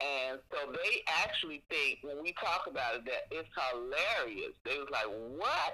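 Speaking fairly slowly in an American accent, a woman is heard over noticeable background noise. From Chicago. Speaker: host's mother. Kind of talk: storytelling.

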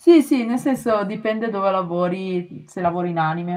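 A woman is speaking. Her pace is moderate. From Italy, Milan. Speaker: animator. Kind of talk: casual chat. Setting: remote call.

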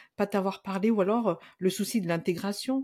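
The recording is very clean and the background silent. A woman talks at a medium pitch. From Madagascar. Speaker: psychologist and Malagasy language teacher. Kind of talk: casual interview.

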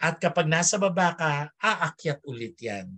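A man speaks very slowly in a fairly high pitch with a bright, sharp tone. His intonation is lively. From Philippines, Filipino Chinese community. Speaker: theater director and academic. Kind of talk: interview. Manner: halting, many fillers.

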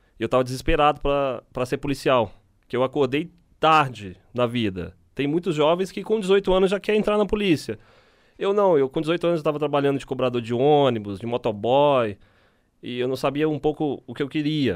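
Here is an unremarkable speaking voice: a man at a fairly high pitch with lively intonation. He goes at a moderate pace on a very clean recording with a silent background. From Minas Gerais, Brazil (Belo Horizonte). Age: 30s. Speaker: military police officer. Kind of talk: casual interview.

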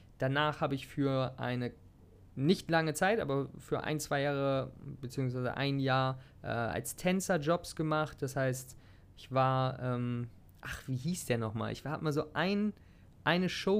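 Relaxed in tone, a man speaks at a fairly slow pace and fairly high pitch with ordinary pitch variation. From Germany, Hanover area. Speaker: health and fitness podcaster. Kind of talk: casual personal monologue. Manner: relaxed, casual.

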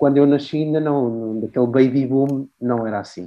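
With ordinary pitch variation and a medium pitch, a man speaks at a moderate pace. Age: 30s. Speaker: music journalist. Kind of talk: interview. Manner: halting.

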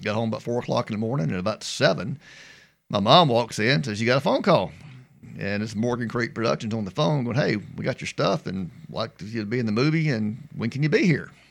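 Talking very fast with a Mississippi accent, a man uses lively intonation at a medium pitch in a very clean recording with a silent background. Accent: Southern US (Mississippi). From US South. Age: 50s. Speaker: former baseball pitcher. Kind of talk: casual chat. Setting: studio.

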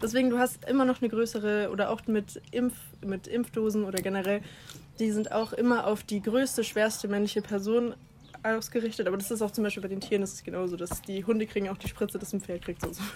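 Talking at a very fast pace, a woman with a fairly high pitch keeps her intonation fairly even. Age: 20s. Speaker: podcast co-host. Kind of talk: casual chat. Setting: outdoors on a garden terrace.

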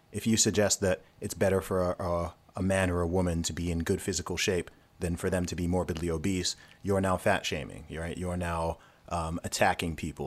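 A man's very deep, low voice at a fairly quick pace, with fairly even intonation, in a very clean recording with a silent background. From Saudi Arabia and England. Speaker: rapper and creative entrepreneur. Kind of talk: casual interview.

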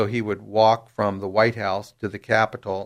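The man's intonation is monotone, flat, and his pace is moderate. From San Diego, California. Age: 60s. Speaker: attorney. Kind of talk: interview.

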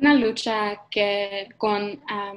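The speaker talks with a non-native accent in a monotone, flat intonation. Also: woman. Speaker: church intern. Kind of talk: sermon. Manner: halting.

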